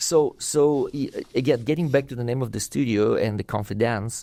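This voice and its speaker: In a Russian accent, a man talks at a fairly quick pace with a medium pitch. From Russia (USSR). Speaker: dance teacher and studio owner. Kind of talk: podcast interview. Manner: halting, many repetitions and fillers.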